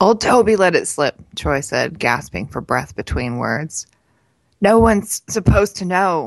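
A woman's fairly low voice has vocal fry and an animated tone. Her pitch swings very widely. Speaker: podcast co-host and editor. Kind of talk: casual chat, and expressive reading aloud of a novel excerpt. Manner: animated, conversational; in the reading, measured narrator with character dialogue.

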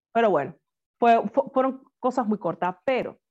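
At a moderate pace, a woman with a Cuban accent speaks in a dark, mellow tone with lively intonation and a dry, close sound with no echo. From Cuba, Havana. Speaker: singer. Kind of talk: interview.

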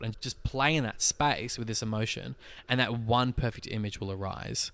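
A man speaks at a medium pitch and a moderate pace with an Australian accent. His tone is bright and sharp. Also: very clean recording, silent background. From Tasmania, Australia (Launceston). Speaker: actor and photographer. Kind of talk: casual chat.

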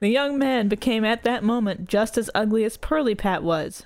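The speaker uses an unforced reading voice with ordinary pitch variation.

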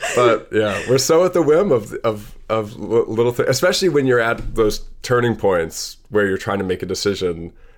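This is a normal speaking voice with lively intonation. It keeps a moderate pace with hardly any pauses. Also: man, medium pitch for a man. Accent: American. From US Midwest, Madison, Wisconsin. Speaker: comedian and cartoonist. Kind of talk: casual chat.

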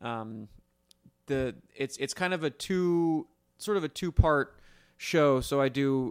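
Speaking very slowly with long, frequent pauses, a man with a fairly high pitch and ordinary pitch variation sounds dry and close, with no echo. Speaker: retired racer, interviewee. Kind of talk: casual interview. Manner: joking, brash.

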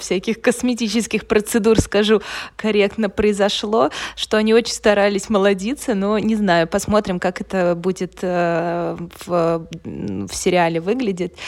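Over a silent background in a very clean recording, a woman speaks at a medium pitch and a fairly slow pace with fairly even intonation. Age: 30s. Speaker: podcast co-host. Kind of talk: casual chat. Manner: hesitant, many fillers.

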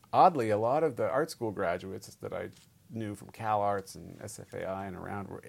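A man with a Californian accent, ordinary pitch variation and big swings in loudness. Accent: General American (Californian). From US West Coast, San Francisco Bay Area. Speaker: documentary filmmaker and film editor. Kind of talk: interview. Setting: office.

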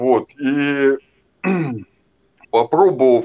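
A man's fairly high voice, lively in intonation, with a dry, close sound and no echo. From northern Russia, small town. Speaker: guest in addiction recovery. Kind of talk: testimony. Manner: halting, with many fillers.

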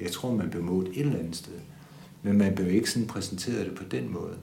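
Speaking at a fairly quick pace, a man with a fairly low pitch and ordinary pitch variation is heard with audible room echo. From Denmark, Funen (Odense). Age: 60s. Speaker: bank adviser. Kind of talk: interview testimony. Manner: hesitant, many fillers.

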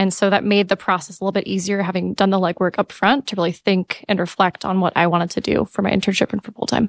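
A woman with an American accent talks very fast at medium pitch with hardly any pauses, in a dry, close sound with no echo. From California. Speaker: MBA student, former startup manager. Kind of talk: casual panel chat.

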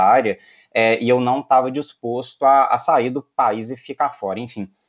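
A man speaks at a medium pitch. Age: 30s. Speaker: lawyer and tech entrepreneur. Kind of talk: interview. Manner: hesitant, many fillers.

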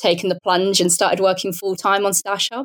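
A woman with a southern England accent speaks at a medium pitch. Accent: British English, southern England. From Portsmouth, south coast of England. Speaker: app founder and sewist. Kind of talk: casual interview conversation.

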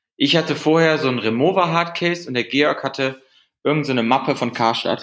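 A man's fairly high voice with ordinary pitch variation at a moderate pace, in a very clean recording with a silent background. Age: 20s. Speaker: company founder. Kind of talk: interview. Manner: halting.

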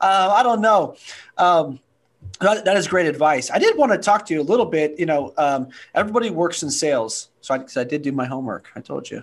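Against a quiet background, a man speaks at a fairly quick pace in a high voice that makes very wide pitch swings. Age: 30s. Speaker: podcast host. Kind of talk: interview.

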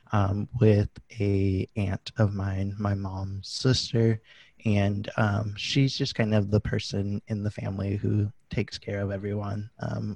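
Against a quiet background, a man speaks very slowly at a fairly low pitch in a dark, mellow, somewhat breathy tone, his intonation monotone and flat, the sound dry and close with no echo. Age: 20s. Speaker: animal control officer and podcaster. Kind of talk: interview conversation. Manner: hesitant, many fillers.

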